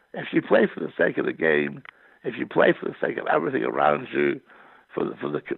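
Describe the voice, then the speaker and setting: In a Scottish accent, a man talks at a fairly quick pace. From Scotland. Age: 60s. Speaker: poet and novelist. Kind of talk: interview conversation. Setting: podcast.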